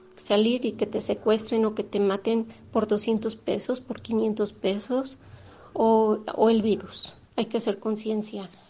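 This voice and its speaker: A woman's somewhat breathy, dark, mellow voice at a very slow pace, in a monotone, flat intonation. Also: fairly high pitch for a woman. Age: 50s. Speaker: radio host. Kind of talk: radio talk, personal testimony. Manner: halting.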